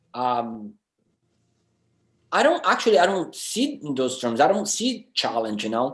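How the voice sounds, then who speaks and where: A man speaks with a Brazilian Portuguese accent. His pitch sits fairly high. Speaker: film director. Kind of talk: panel discussion. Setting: video call. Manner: halting.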